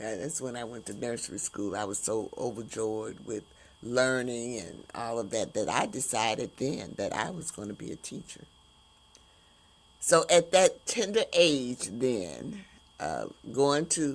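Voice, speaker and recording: Speaking at a fairly slow pace, a woman with a very deep, low pitch makes very wide pitch swings and big swings in loudness. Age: 70s. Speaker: podcast host and retired school teacher. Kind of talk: casual monologue on a livestream. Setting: live stream. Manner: halting, with many fillers.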